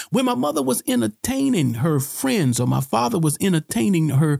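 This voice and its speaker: Animated and somewhat breathy, a man with a fairly high voice speaks at a moderate pace with very wide pitch swings in a dry, close sound with no echo. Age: 40s. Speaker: pastor. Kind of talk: sermon-style podcast teaching.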